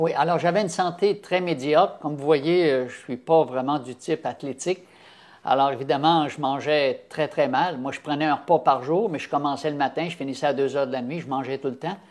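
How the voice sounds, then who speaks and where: Speaking in a Quebec accent, a man talks at a fairly quick pace with a fairly high pitch, ordinary pitch variation and big swings in loudness. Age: 70s. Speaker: health campaigner. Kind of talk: interview testimony. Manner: halting, many fillers.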